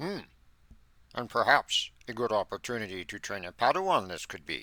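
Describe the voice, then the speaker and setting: In a very clean recording with a silent background, a man puts on a character voice at a medium pitch. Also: moderate pace. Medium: read story. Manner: inverted word order, slow, wise; ponderous humming "Hmm".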